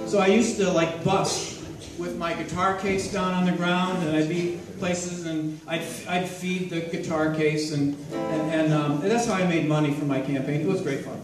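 A man with a high pitch speaks at a moderate pace. There is audible room echo and clear music in the background. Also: fairly even intonation. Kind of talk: casual stage banter. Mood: friendly, lightly humorous. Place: hall. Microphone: camera far.

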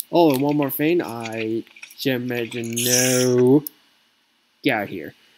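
The speaker goes at a very slow pace, leaving long, frequent pauses. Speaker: gaming video creator. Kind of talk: gameplay commentary outro. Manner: halting.

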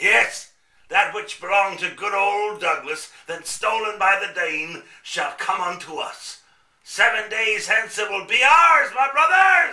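A man talks in a raised, projected voice at a high pitch, with lively intonation. His pace is fairly slow, and there is slight echo. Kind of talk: theatrical radio play villain. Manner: pompous, scheming.

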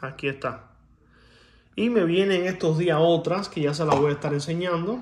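Here a man is speaking. The rise and fall of his pitch is ordinary. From Cuba. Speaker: coin collector YouTuber. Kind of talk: casual video monologue showing coins. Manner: animated; hesitant with filler sounds. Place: home room. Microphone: phone near.

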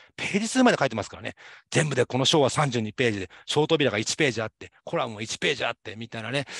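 A man talks at a very fast pace with lively intonation and big swings in loudness, the sound dry with no echo over a quiet background. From Japan, Saitama. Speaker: university lecturer. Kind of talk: lecture. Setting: online class. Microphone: webcam.

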